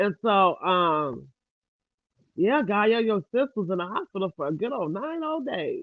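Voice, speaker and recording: A woman with an American accent and very wide pitch swings. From US, Louisiana family. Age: 50s. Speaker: livestreamer. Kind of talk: casual livestream chat. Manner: fast.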